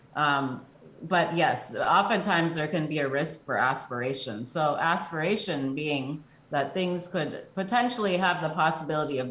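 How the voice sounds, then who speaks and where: The voice has ordinary pitch variation, with audible room echo and noticeable background noise. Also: woman. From New Jersey. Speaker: speech therapist. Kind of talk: interview.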